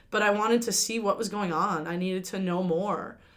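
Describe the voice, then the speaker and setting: A woman of medium pitch with an American accent speaks at a very fast pace with fairly even intonation, and the room echo is audible. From New Jersey. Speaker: college basketball coach. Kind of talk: interview.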